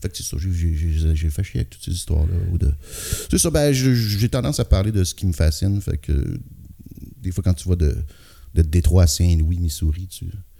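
Speaking in a Quebec accent at a very deep, low pitch, a man uses a dark, mellow, somewhat breathy tone at a moderate pace, with lively intonation, big swings in loudness and long, frequent pauses. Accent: Québécois French. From Quebec City area. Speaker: rock singer and guitarist. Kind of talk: casual interview.

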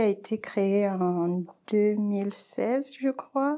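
Dark, mellow tone at a very slow pace, with ordinary pitch variation. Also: woman. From Cameroon. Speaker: primary school teacher. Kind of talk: casual interview.

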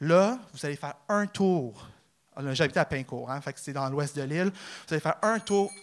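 Delivered at a moderate pace, the speech has an animated tone and lively intonation. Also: man, fairly high pitch for a man. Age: 30s. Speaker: amateur comedian, real estate broker. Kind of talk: stand-up. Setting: stage with audience.

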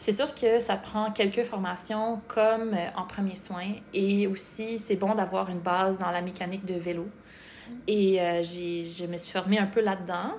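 A woman with an unremarkable speaking voice, medium pitch, fairly even intonation and a fairly slow pace. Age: 30s. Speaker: medical student, former nutritionist. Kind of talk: podcast interview.

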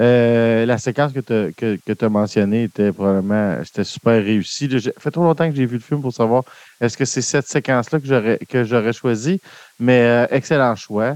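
With a Quebec accent, a man speaks at a fairly slow pace with ordinary pitch variation. The sound is dry and close with no echo, and the background is quiet. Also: medium pitch for a man. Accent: Québécois French. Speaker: film podcast host. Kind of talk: casual chat. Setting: live stream.

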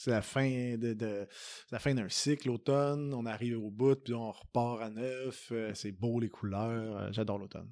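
In a Quebec accent, a man speaks at a very slow pace with hardly any pauses. His voice is medium in pitch, with a dark, mellow tone and fairly even intonation. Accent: Québécois French. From Quebec, Saint-Hyacinthe area. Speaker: singer-songwriter. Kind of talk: interview. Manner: casual, hesitant with fillers.

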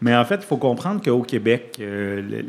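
An unremarkable speaking voice from a man at medium pitch and a moderate pace. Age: 40s. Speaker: community organization director. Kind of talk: radio interview.

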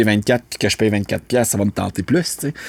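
In a plain, everyday voice with fairly even intonation, a man speaks at a moderate pace, the very clean recording silent in the background and dry and close with no echo. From Quebec, north shore of Montreal. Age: 30s. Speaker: actor. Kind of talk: casual chat. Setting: studio.

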